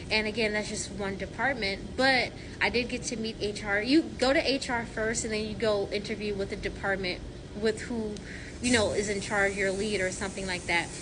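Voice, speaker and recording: A woman at a moderate pace, fairly high in pitch with fairly even intonation, amid audible room echo and noticeable background noise. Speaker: sterile processing technician. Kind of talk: casual vlog answering viewer questions. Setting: at work. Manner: loud; rambling, halting with fillers.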